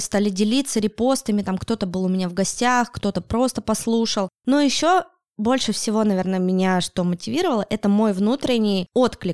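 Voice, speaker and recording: A woman's plain, everyday voice, fairly high in pitch, with ordinary pitch variation and a moderate pace, dry and close with no echo, on a very clean recording with a silent background. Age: 30s. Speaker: podcaster. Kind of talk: casual interview. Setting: studio.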